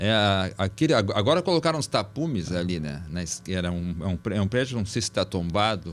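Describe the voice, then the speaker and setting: With a plain, everyday voice, a man at fairly low pitch talks at a fairly quick pace with lively intonation and hardly any pauses. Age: 60s. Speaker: professor, podcast moderator. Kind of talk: podcast discussion.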